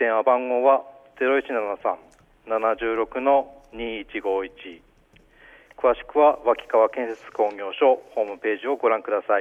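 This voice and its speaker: This man speaks at a very slow pace. His pitch is medium and his intonation fairly even. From Aomori, Goshogawara. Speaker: company general affairs manager. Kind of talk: radio interview. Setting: phone call.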